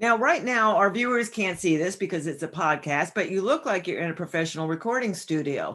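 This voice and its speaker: An unremarkable speaking voice belongs to a woman with an American accent and medium pitch. She talks at a fairly quick pace with lively intonation and hardly any pauses. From northern New Jersey. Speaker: podcast host and psychotherapist. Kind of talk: interview.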